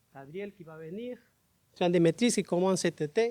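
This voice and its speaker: In a dry, close sound with no echo, a man with a high pitch and a dark, mellow tone speaks at a moderate pace with ordinary pitch variation. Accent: Spanish. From Panama. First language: Spanish (speaking French). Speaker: biology professor. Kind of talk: conference talk. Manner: halting.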